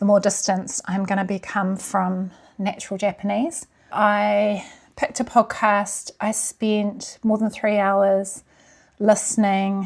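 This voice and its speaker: Speaking very slowly in a New Zealand accent, a woman holds a medium pitch with monotone, flat intonation on a very clean recording with a silent background. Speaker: language learning vlogger. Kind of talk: vlog talk to camera. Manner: casual.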